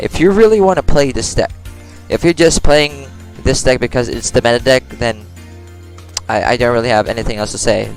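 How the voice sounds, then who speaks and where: A man with a non-native accent talks over music in the background. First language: not English. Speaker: mobile card game player. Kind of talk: casual game commentary. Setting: low-quality home microphone. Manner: hesitant, many fillers.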